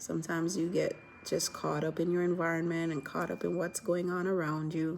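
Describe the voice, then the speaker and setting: A soft-spoken woman at a moderate pace, fairly low in pitch, with monotone, flat intonation. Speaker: vlogger. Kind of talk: casual vlog chat. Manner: soft-spoken, keeping voice low; rambling, many fillers.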